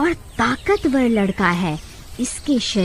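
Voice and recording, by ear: Reading aloud in a natural voice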